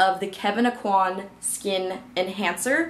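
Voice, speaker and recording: A woman is speaking. Audible room echo is in the recording. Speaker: beauty youtuber. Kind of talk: monthly favorites product review to camera. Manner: fast; chatty, filler-heavy.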